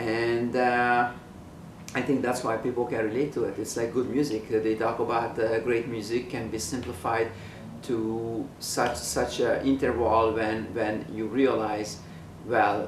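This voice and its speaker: A man's medium-pitched voice with a Hungarian accent, fairly slow and monotone with flat intonation, amid audible room echo and noticeable background noise. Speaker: painter, artist. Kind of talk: documentary interview monologue. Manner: halting, many fillers.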